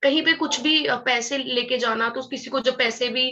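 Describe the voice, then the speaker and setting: This woman has a high pitch and a bright, sharp tone. Her pace is moderate. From Haryana, India (Panipat). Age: 20s. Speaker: network marketing distributor. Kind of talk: motivational talk.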